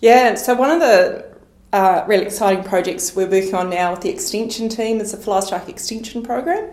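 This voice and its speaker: Speaking at a fairly quick pace, a woman with a New Zealand accent has a fairly high pitch, with audible room echo and noticeable background noise. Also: ordinary pitch variation. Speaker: agricultural research manager. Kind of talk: podcast interview.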